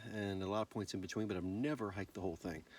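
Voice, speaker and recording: The man here speaks at a fairly low pitch. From Virginia, US. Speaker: hiking vlogger. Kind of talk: outdoor vlog narration. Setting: outdoors on a mountain trail.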